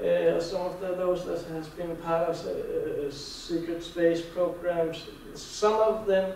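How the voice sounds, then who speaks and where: In a Danish accent, a man speaks very slowly at a high pitch with monotone, flat intonation, amid audible room echo and noticeable background noise. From Denmark. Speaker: conference speaker on Mars anomalies. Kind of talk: lecture. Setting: conference hall with audience. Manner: halting, with repeated words.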